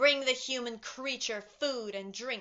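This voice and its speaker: At a fairly slow pace, a woman delivers a put-on character voice in a high pitch. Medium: read story. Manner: imperious, cold, commanding.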